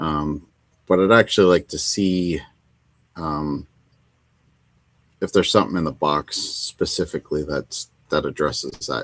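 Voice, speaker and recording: On a very clean recording with a silent background and a dry, close sound with no echo, a man with an American accent speaks at a fairly slow pace with a very deep, low pitch and long, frequent pauses. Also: ordinary pitch variation. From United States. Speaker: wargaming channel host. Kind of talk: casual livestream chat while painting.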